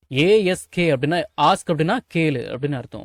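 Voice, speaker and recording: Recorded very cleanly with a silent background and a dry, close sound with no echo, a man speaks in a plain, everyday voice at fairly high pitch with lively intonation. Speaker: English teacher. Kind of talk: spoken English lesson explaining words in Tamil.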